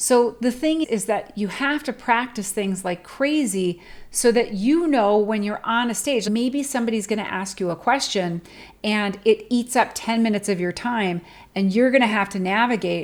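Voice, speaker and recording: A woman speaks at a fairly high pitch and a moderate pace, with ordinary pitch variation and a plain, everyday voice. The recording is very clean, with a silent background. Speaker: public speaking coach. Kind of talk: tutorial.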